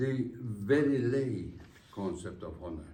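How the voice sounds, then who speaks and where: A man's somewhat breathy, dark and mellow voice with ordinary pitch variation, in audible room echo. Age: 80s+. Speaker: honoree giving acceptance speech. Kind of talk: formal speech. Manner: formal.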